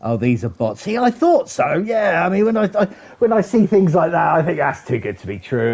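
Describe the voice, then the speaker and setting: A man speaks at a moderate pace with very wide pitch swings while noticeable background noise runs underneath. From England. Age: 40s. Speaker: gaming streamer. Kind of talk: live gameplay stream chat. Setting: streaming from a PlayStation console.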